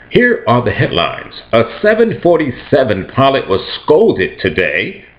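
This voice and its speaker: The man talks at a moderate pace. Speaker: aspiring news or on-air host. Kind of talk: fake news anchor report delivered to camera.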